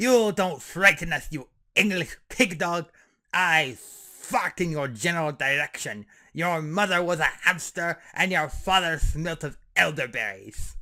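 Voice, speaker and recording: Using a put-on character voice, a man speaks fairly slowly in a high, raspy pitch. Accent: French. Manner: taunting, mocking.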